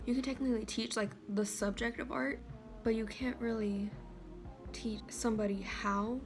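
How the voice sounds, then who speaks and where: A soft-spoken woman with a fairly high pitch talks at a moderate pace, leaving long, frequent pauses. Music plays in the background. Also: ordinary pitch variation. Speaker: artist. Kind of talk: casual talk to camera. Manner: quiet, soft-spoken.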